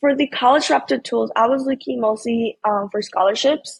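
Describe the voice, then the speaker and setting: Against a quiet background, a woman with a fairly high pitch speaks at a moderate pace with fairly even intonation. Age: young. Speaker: college student, scholarship winner. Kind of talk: interview. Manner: hesitant.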